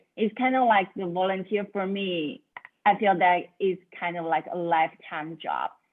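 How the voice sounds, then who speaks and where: Her speech carries a Chinese accent and ordinary pitch variation. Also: medium pitch for a woman, moderate pace. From China. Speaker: student volunteer. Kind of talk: self-introduction in online meeting. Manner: halting.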